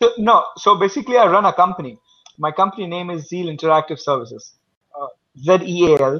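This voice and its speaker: With lively intonation and big swings in loudness, a man talks at a very fast pace in a high pitch. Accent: Indian. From India. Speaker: small tech company owner and programmer. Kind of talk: casual online group chat. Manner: halting, many fillers.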